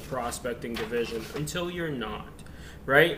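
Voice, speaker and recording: Over noticeable background noise and audible room echo, a man speaks in a fairly high pitch. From immigrant to the US, grew up in a rough US area. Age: 30s. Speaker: real estate agent and team leader. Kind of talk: casual video lecture on a book chapter.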